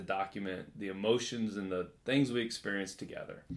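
Speaking in an American accent, this man's pitch shifts in a normal, everyday range. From US Midwest, Kansas City. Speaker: blogger, father of five. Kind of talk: casual interview.

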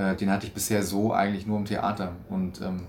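Audible room echo surrounds a man with a fairly low pitch. He talks at a fairly quick pace in a monotone, flat intonation. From Stuttgart, southwestern Germany. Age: 20s. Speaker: stage actor. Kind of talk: interview. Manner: hesitant, many fillers.

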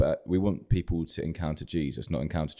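A man speaks with a southern English accent and a dark, mellow tone. His pitch is very deep and low, with vocal fry. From southern England. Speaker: church planter. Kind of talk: interview.

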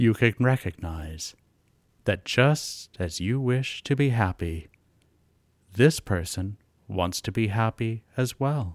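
In a calm, soothing tone, a man with a medium pitch speaks with lively intonation and long, frequent pauses, captured dry and close with no echo in a very clean recording with a silent background. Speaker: meditation guide. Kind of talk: guided meditation. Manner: slow, calm, soothing, with long silent pauses; gentle, soft-spoken, unhurried.

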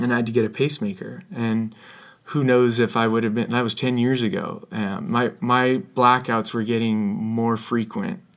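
A man's unremarkable speaking voice with an American accent at a medium pitch, with ordinary pitch variation and a fairly slow pace. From California, US. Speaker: newspaper columnist. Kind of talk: casual interview.

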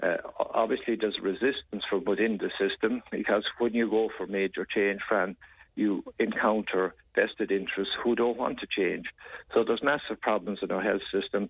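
A man with an Irish accent, fairly low pitch, moderate pace and fairly even intonation. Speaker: politician discussing health policy. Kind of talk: radio interview.

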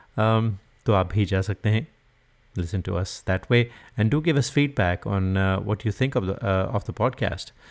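This very clean recording with a silent background has a man speaking at a moderate pace in a fairly low pitch with ordinary pitch variation, in an unremarkable speaking voice. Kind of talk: radio DJ patter with Hinglish sponsor plugs and song intros. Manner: warm, upbeat, fluent Hindi-English code-switching, brisk promo delivery.

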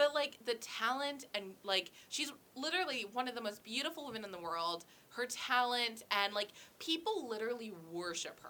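Noticeable background noise sits behind a woman with a high pitch and an animated tone. She talks at a moderate pace with lively intonation. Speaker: podcast host. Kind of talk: casual chat.

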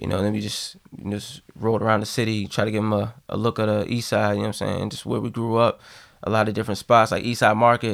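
Very fast and monotone, a man with an American accent speaks at a fairly low pitch with flat intonation. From Massachusetts, Boston area. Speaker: guest on a casual podcast. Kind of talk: casual chat.

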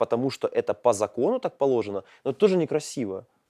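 A man's dark, mellow voice at medium pitch and a very fast pace, dry and close with no echo, on a very clean recording with a silent background. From eastern Ukraine, Pokrovsk (Donetsk region). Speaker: podcast host. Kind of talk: casual chat. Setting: school building.

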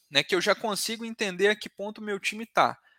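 A man's raised, projected voice has a bright, sharp tone and a dry, close sound with no echo. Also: very clean recording, silent background. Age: 20s. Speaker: sales business partner. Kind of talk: interview.

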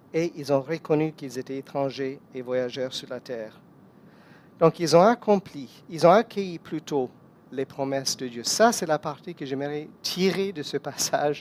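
A fairly high-pitched man speaking fairly slowly, with ordinary pitch variation and big swings in loudness. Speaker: guest preacher. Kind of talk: sermon.

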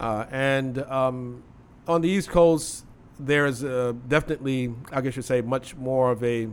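At a fairly slow pace, an unremarkable speaking voice keeps its intonation fairly even. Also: man, medium pitch for a man. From US, Philadelphia and Chicago. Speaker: Islamic scholar. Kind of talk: casual interview.

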